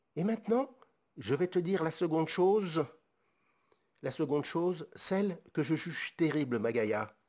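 Over a silent background in a very clean recording, a man speaks slowly-ish at a fairly slow pace, his fairly high pitch swinging very widely, with long, frequent pauses. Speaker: ASMR creator and author.

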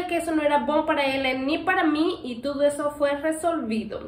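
Audible room echo follows a woman whose extremely high voice shows ordinary pitch variation. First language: not Portuguese (speaking Portuguese). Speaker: pet channel host. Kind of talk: Q&A casual chat. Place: home room. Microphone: camera far.

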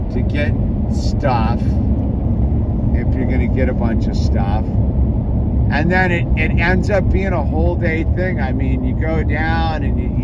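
A very slow pace over loud background noise. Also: man. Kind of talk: casual vlog chat. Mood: reflective, relaxed. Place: car. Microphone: phone near.

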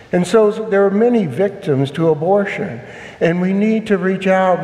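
A man speaks in a solemn tone at a fairly slow pace, with ordinary pitch variation. Room echo is audible. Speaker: priest. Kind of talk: homily at Mass. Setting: church. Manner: earnest, solemn; firm, measured. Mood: earnest, compassionate.

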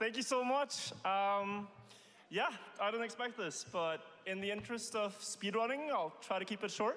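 A man speaks with a non-native accent at a fairly slow pace. His high-pitched voice has a bright, sharp tone and ordinary pitch variation. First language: not English. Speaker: speedrunner, award winner. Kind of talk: acceptance speech. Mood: surprised, grateful. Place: stage. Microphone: podium.

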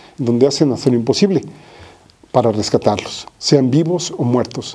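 A man's fairly quick delivery in an ordinary speaking voice, pitched at medium. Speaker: political commentator. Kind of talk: political commentary monologue.

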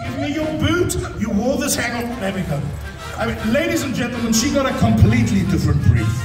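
Clear music plays in the background with audible room echo. A man talks at a fairly quick pace. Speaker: entertainer, actor, MC. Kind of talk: live stand-up comedy. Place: stage.

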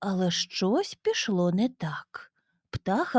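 Someone does plain reading aloud over a quiet background.

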